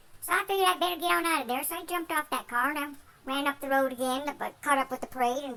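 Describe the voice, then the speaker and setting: The pace is fairly quick. It is a put-on character voice. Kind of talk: folksy tall tale. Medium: solo performance. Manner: rambling, easygoing.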